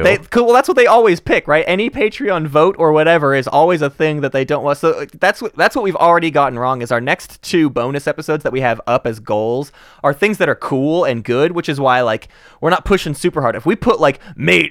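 A plain, everyday voice with lively intonation at a fairly quick pace, dry and close with no echo. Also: man, fairly high pitch for a man. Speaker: podcast co-host. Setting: podcast recording.

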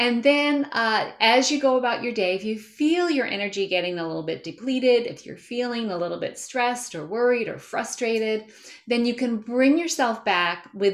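This is an unremarkable speaking voice. It moves at a moderate pace with lively intonation. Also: woman. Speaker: health coach. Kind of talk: panel discussion. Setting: video call.

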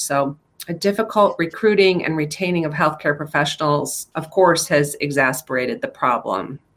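This woman has a normal speaking voice, pitched fairly low. She talks at a moderate pace with lively intonation. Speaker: podcast co-host. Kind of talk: news discussion.

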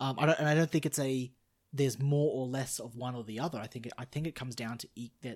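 In an Australian accent, a man talks at a very fast pace with fairly even intonation, on a very clean recording with a silent background. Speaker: podcast guest. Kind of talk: casual chat.

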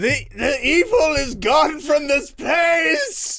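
Shouting in a put-on character voice, a man pitches extremely high and speaks at a very slow pace. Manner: ominous, dramatic.

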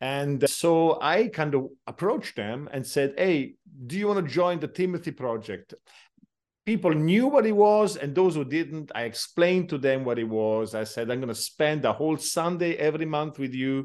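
A man with an Italian accent, fairly high in pitch, with lively intonation against a quiet background. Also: moderate pace. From southern Italy (Taranto). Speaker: pastor and church planter. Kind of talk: interview. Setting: video call.

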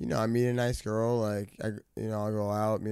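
A man with a New York accent talks at a moderate pace, his fairly low voice dark and mellow in tone. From New York, Westchester. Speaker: recording artist. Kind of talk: casual chat.

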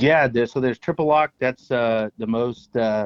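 A man with a plain, everyday voice talks at a fairly quick pace. His pitch is medium and his intonation fairly even. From Texas. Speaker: spice company owner. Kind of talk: casual chat. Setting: phone call.

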